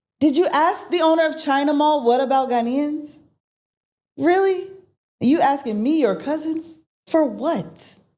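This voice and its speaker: With an American accent and a dark, mellow tone, a woman talks at a high pitch and moderate pace, using ordinary pitch variation and long, frequent pauses amid audible room echo. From United States. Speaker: entrepreneur. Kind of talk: interview. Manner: animated.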